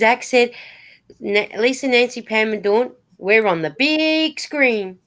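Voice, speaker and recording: A woman talks with a high pitch and lively intonation. The recording is very clean, with a silent background. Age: 60s. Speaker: knitting vlogger. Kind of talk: casual chat. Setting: live stream.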